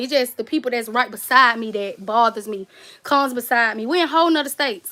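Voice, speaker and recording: Raising and projecting her voice, a woman talks very fast in a Southern US accent, with lively intonation and a bright, sharp tone. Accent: country Southern. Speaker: cake and gift basket YouTuber. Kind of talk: casual livestream chat. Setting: livestream. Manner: skips over words.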